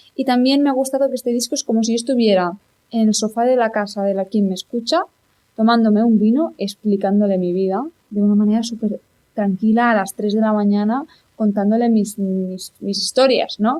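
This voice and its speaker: Fairly high in pitch yet dark and mellow in tone, a woman speaks at a fairly quick pace. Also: ordinary pitch variation. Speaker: singer-songwriter. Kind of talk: interview.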